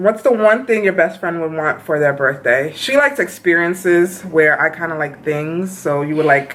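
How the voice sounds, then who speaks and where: Over noticeable background noise, a woman with a fairly low pitch speaks at a moderate pace with lively intonation and hardly any pauses. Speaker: beauty vlogger. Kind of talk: casual chat.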